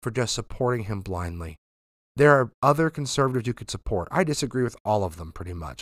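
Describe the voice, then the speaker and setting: An American-accented man at a very fast pace, animated in tone, on a very clean recording with a silent background. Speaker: podcast host. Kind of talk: news commentary with political opinion, turning into an angry rant. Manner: animated, exasperated, forceful, lecturing and pleading; conversational, sarcastic.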